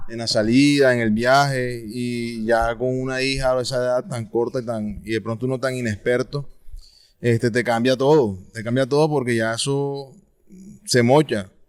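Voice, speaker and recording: This man uses a normal speaking voice with medium pitch. He keeps a moderate pace, and his intonation stays fairly even. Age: 30s. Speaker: father. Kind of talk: interview.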